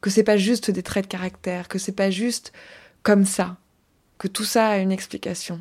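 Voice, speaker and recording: A woman speaks at a moderate pace in a flat, monotone way, with a somewhat breathy voice and long, frequent pauses, on a very clean recording with a silent background. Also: medium pitch for a woman. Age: 30s. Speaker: podcast host and life coach. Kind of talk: solo podcast monologue. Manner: casual, with hesitations.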